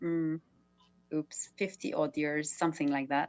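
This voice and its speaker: A woman with a Maltese accent. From Malta. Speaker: artist, actor and TV/radio presenter. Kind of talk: casual panel discussion. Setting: video call.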